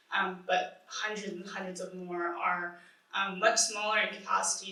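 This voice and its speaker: A woman mumbling at a medium pitch and a moderate pace, with noticeable background noise and audible room echo. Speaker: climate nonprofit manager. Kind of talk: conference panel talk. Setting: conference panel with audience. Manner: hesitant, many fillers.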